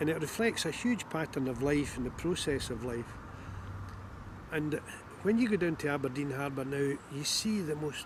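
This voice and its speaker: Over noticeable background noise, a man with a fairly high pitch and lively intonation talks at a moderate pace, leaving long, frequent pauses. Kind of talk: interview answer.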